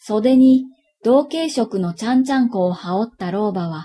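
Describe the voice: Plain read-aloud speech, with a quiet background.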